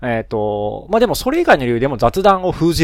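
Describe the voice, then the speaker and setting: A man's medium-pitched voice at a very fast pace. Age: 30s. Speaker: solo podcaster, engineer and parent. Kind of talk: casual solo monologue. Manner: many fillers and self-corrections.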